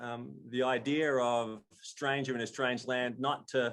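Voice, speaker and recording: A man's medium-pitched voice with an Australian accent, very slow and monotone, with flat intonation. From Australia, Melbourne. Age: 60s. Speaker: storyteller. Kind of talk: storytelling.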